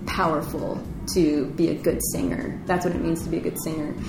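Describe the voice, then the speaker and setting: A woman with an American accent speaks at a fairly low pitch, with audible room echo and noticeable background noise. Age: 20s. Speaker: singer-songwriter. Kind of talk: casual interview chat.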